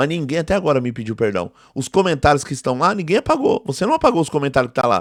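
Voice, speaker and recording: The delivery is very fast, with lively intonation. The recording is very clean, with a silent background. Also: man. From Brazil, São Paulo East Zone periphery. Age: 40s. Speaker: theology professor and preacher. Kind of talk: indignant video monologue. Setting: live video. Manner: emphatic, repetitive; intense speaking style, same as teaching and preaching.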